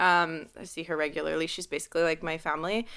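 A woman's fairly low voice carries noticeable vocal fry. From Montreal, West Island, Quebec. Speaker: hairstylist. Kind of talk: casual interview. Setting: video call.

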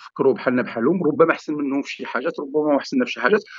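This man talks at a very fast pace. His pitch is fairly high. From Morocco, Sefrou. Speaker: digital transformation consultant and entrepreneur. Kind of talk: podcast interview. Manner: halting.

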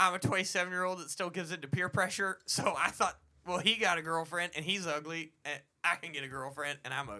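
Talking at a very fast pace, a man with a high pitch shows ordinary pitch variation and big swings in loudness. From Texas, later Florida. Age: 20s. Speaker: comedy podcast co-host. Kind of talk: casual chat.

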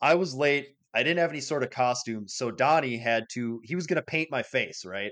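A man with an American accent, a plain, everyday voice, a moderate pace and ordinary pitch variation, against a quiet background. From US Midwest, rural area. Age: 30s. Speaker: podcast co-host. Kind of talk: casual chat.

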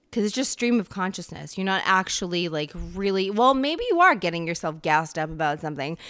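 A woman talks at a fairly quick pace and medium pitch with hardly any pauses, in a plain, everyday voice. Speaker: solo podcast host. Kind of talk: solo monologue podcast.

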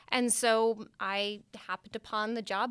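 A woman speaks with a Californian accent and a fairly high pitch. The recording is very clean, with a silent background. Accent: Californian American. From Redwood City, California. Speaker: school director of mission and ministry, co-host. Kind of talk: casual chat.

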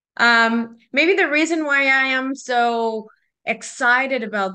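In a Spanish accent, a woman speaks with a bright, sharp tone. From Mexico (Guadalajara). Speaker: small business owner. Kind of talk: interview. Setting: video call.

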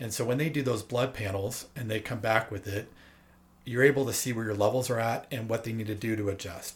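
Somewhat breathy, a man speaks at a very fast pace with a medium pitch and fairly even intonation. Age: 40s. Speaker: guest sharing personal health experience. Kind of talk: casual chat.

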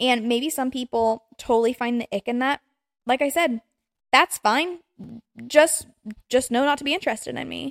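Speaking in an American accent, a woman has a high pitch, an animated tone and ordinary pitch variation at a moderate pace. She takes long, frequent pauses, and the sound is dry and close with no echo. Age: 20s. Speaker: podcast host. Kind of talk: solo casual rant.

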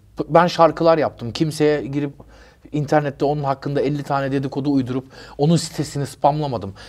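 Fairly high in pitch, a man with a plain, everyday voice talks at a fairly quick pace with fairly even intonation. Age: 50s. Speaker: rapper. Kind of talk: interview.

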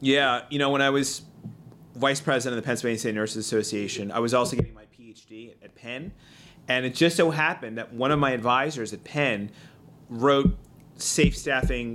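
This man talks in a Philadelphia accent at a medium pitch. His loudness swings widely. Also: ordinary pitch variation, moderate pace. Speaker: state legislator. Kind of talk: casual interview chat. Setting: studio.

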